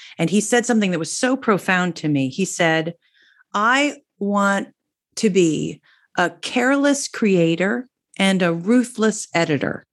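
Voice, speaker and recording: Against a quiet background, a woman with an American accent has an ordinary speaking voice at a medium pitch. She talks at a fairly slow pace with lively intonation. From New Jersey. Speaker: singer-songwriter. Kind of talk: casual interview.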